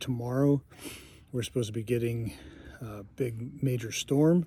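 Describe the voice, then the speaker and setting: A man with a somewhat breathy, dark, mellow voice speaks at medium pitch and a moderate pace, his intonation fairly even. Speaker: long-distance hiker vlogger. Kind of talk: video diary. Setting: outdoors, campground. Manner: hesitant, many fillers; soft-spoken.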